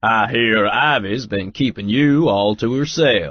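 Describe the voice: Booming and fairly slow, a man performs a put-on character voice at a medium pitch. His intonation is lively.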